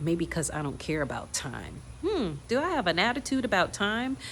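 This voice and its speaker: A woman speaks at a fairly slow pace with vocal fry and very wide pitch swings. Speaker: acting coach. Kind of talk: tutorial.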